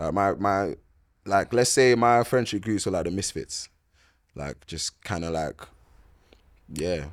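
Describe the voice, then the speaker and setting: A man with a London accent speaks at a fairly slow pace and fairly low pitch with ordinary pitch variation, taking long, frequent pauses in a very clean recording with a silent background. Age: 20s. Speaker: boxer and musician. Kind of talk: casual chat.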